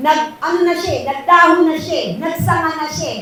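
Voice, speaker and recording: A woman's raised, projected voice, high in pitch, at a fairly slow pace, with noticeable background noise and audible room echo. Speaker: preacher. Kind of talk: sermon. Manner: loud.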